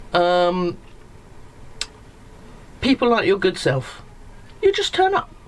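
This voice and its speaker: Noticeable background noise runs throughout. Through it, a woman speaks. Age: old. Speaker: retired single narrowboater. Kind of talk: interview answer.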